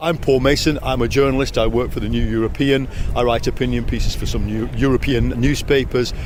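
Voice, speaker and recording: A man talks at a fairly quick pace with hardly any pauses, against noticeable background noise and audible room echo. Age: 60s. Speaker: journalist and author. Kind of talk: interview. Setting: political party conference.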